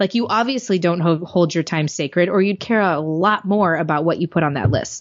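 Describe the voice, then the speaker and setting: Hardly pausing, a woman talks at a fairly quick pace in an animated tone, her fairly low pitch showing ordinary variation and her loudness very even. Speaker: business strategist and podcaster. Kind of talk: interview conversation. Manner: fast.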